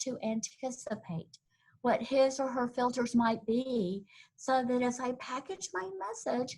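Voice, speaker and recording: With a Southern US accent, a woman talks at a fairly slow pace in a high pitch. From US South, Tennessee. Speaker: corporate trainer. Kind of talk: webinar presentation. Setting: online webinar.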